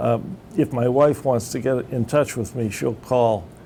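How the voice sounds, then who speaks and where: A man at medium pitch with ordinary pitch variation, speaking at a very slow pace over noticeable background noise. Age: 60s. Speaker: retired telecom technician, veteran. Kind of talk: interview. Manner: halting, repeats words.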